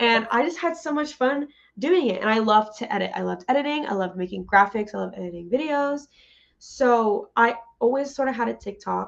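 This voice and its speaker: With lively intonation, a woman speaks fairly quickly at a fairly high pitch in an unremarkable speaking voice. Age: 20s. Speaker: podcast co-host. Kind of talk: casual chat.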